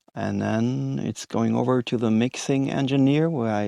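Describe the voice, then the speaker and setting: Over a quiet background, a man with a non-native accent speaks with ordinary pitch variation. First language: not English. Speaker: indie musician. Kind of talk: podcast interview. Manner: halting, many fillers.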